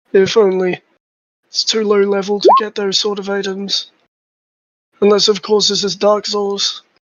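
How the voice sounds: A put-on character voice, hoarse and strained, speaks at a moderate pace in a fairly high pitch with monotone, flat intonation and long, frequent pauses.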